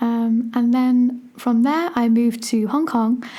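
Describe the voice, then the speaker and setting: A woman speaks with an English accent. Her pitch is fairly high. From England. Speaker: primary school teacher and podcast host. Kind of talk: solo podcast monologue. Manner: casual, with many fillers.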